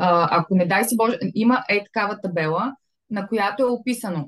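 A woman with a fairly high, somewhat breathy voice speaks with lively intonation. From Bulgaria, Varna. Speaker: fashion business owner. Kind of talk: interview.

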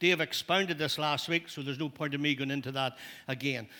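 With a Northern Irish accent, a man speaks in a bright, sharp tone on a very clean recording with a silent background. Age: old. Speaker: pastor. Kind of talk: sermon. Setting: church.

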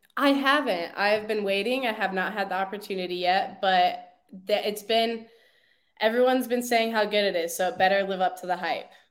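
A woman speaks at a fairly quick pace in a normal speaking voice. Her pitch moves with ordinary variation. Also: medium pitch for a woman. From Chicago area, US Midwest. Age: 20s. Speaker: CrossFit athlete. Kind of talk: interview.

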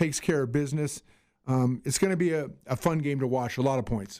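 Recorded very cleanly with a silent background, a man speaks in an unremarkable speaking voice, fairly high in pitch, with ordinary pitch variation. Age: 60s. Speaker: sports podcast co-host. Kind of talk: casual chat.

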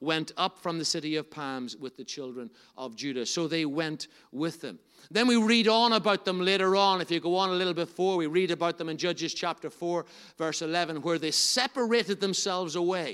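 Loud and animated, this voice moves at a fairly quick pace in a Northern Irish accent, with ordinary pitch variation. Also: man, high pitch for a man. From Northern Ireland. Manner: loud, animated.

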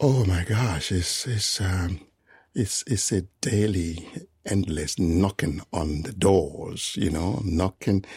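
The speaker has a West African accent and a somewhat breathy sound. Delivery is very slow, with ordinary pitch variation. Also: man, very deep, low pitch for a man. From Ghana and Nigeria. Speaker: composer. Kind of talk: interview. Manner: frequent fillers like 'you know'.

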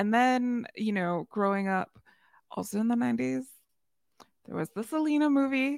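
A woman's fairly high, animated voice in an American accent, with very wide pitch swings, a moderate pace, long, frequent pauses, and a dry, close sound with no echo. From US Midwest. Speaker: podcaster. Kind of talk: casual interview. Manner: animated, laughs often.

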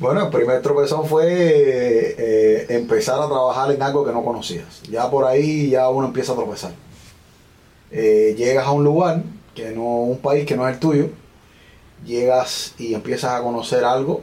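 A man talks at a fairly slow pace, with noticeable noise in the background. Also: medium pitch for a man, ordinary pitch variation. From Cuba, Villa Clara province. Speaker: small business owner. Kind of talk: interview conversation.

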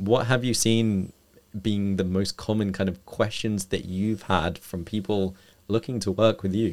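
A man's fairly low voice, an unremarkable speaking voice, at a fairly slow pace with fairly even intonation, on a very clean recording with a silent background. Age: 20s. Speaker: fitness coach and podcast host. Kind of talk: podcast interview.

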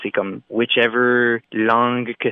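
The speaker is a man. He talks with an Acadian accent. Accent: Acadian French (Chiac). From Moncton, New Brunswick, Acadia (Canada). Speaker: singer-songwriter. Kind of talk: interview. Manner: halting, frequent repetitions and hesitations.

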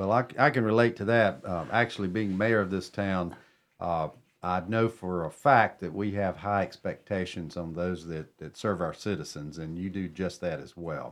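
A man speaks with a North Carolina accent. His voice is very deep and low. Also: ordinary pitch variation, moderate pace. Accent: Southern US (North Carolina). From Cornelius area, North Carolina. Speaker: town mayor hosting a radio show. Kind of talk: radio talk show. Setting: radio studio.

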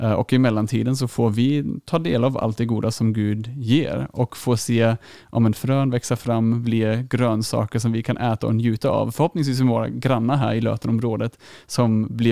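A speaker with a German accent talks at a moderate pace with fairly even intonation, in a dark, mellow tone. The sound is dry and close with no echo, and the recording is very clean against a silent background. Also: man. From Germany. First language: German (speaking Swedish). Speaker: youth leader and theology student. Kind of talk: podcast interview.

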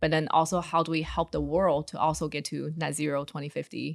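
In a very clean recording with a silent background and a dry, close sound free of echo, a woman speaks at a fairly quick pace with a very deep, low pitch. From China. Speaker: venture capital investor. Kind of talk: interview.

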